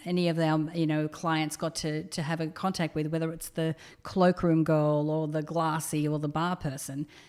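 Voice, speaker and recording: A woman speaks with a very deep, low pitch in an Australian accent. Her pace is moderate. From Australia, rural New South Wales (Orange). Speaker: entrepreneur, company co-founder. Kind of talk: podcast interview.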